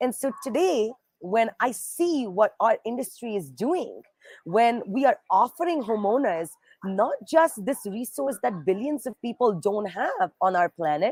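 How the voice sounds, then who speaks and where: With an Indian accent, the speaker talks at a fairly slow pace in an animated tone with very wide pitch swings. The sound is dry and close with no echo. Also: woman, fairly high pitch for a woman. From India, Bombay. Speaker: nonprofit fundraising executive. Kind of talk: livestream interview.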